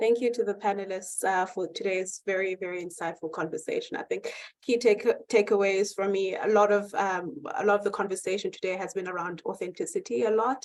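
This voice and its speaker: A woman's medium-pitched voice with a South African accent, at a fairly quick pace. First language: Xhosa. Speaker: panel moderator. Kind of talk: moderated panel discussion. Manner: halting.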